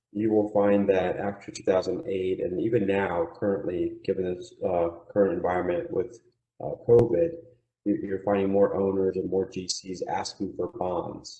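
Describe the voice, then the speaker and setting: Moderate pace with ordinary pitch variation. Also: man, fairly low pitch for a man. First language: not English. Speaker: surety bonding agent. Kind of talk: webinar presentation. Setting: online webinar.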